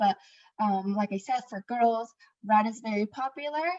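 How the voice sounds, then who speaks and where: A woman talks at a moderate pace in a fairly high pitch. The sound is dry and close, with no echo. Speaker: interpreter. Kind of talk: interpreting. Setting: video call. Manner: hesitant, many fillers; louder than before.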